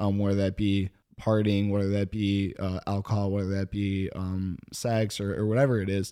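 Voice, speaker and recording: A man talks at a moderate pace in a fairly low pitch with a dark, mellow tone and monotone, flat intonation. The recording is very clean, with a silent background. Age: 20s. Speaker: podcast host. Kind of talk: casual chat.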